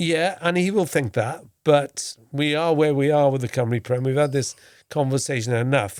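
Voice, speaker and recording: In a very clean recording with a silent background, a man with a Welsh accent speaks at a fairly high pitch and very even loudness. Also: ordinary pitch variation, moderate pace. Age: 60s. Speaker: former football correspondent, podcast host. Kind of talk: casual podcast chat.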